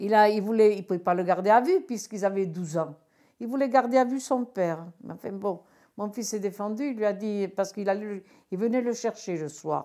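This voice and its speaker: Her tone is dark and mellow. This woman speaks at a medium pitch. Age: 60s. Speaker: retired bingo caller. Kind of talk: testimony. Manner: clear-spoken; halting.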